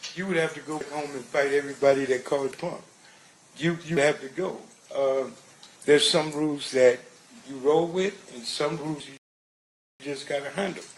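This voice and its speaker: A man speaks at a moderate pace in a fairly high pitch, with fairly even intonation. His loudness swings a lot, and he leaves long, frequent pauses. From Compton, California, US. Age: 60s. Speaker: trial witness. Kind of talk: testimony. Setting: courtroom.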